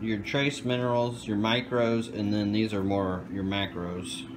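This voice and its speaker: A man speaks at a fairly low pitch with ordinary pitch variation. His loudness stays very even, and there is noticeable background noise. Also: fairly slow pace. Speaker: aquarium hobbyist seller. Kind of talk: casual vlog chat. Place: home room. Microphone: phone near.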